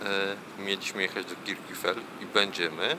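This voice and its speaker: A man with a fairly low voice talks at a fairly slow pace over noticeable background noise. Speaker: travel vlogger. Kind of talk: travel vlog narration. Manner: soft-spoken.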